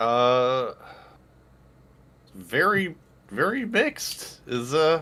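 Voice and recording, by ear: A man speaks at a very slow pace with medium pitch. His tone is bright and sharp, with big pitch swings.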